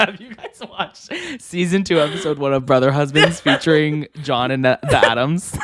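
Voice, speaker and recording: A man with a fairly high pitch talks at a moderate pace with ordinary pitch variation. His loudness swings widely over noticeable background noise. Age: 20s. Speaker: podcast co-host. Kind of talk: casual chat. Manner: animated.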